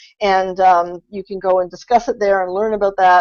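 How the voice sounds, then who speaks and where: A woman's plain, everyday voice at medium pitch, delivered at a moderate pace. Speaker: content strategy consultant. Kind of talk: webinar presentation. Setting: online webinar.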